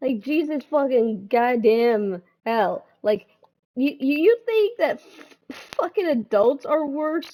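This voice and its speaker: Speaking at a very slow pace, a woman with a high pitch and a dark, mellow tone swings her pitch very widely. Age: adult. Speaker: gaming video creator. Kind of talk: personal vlog monologue. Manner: talkative, repetitive with restarts.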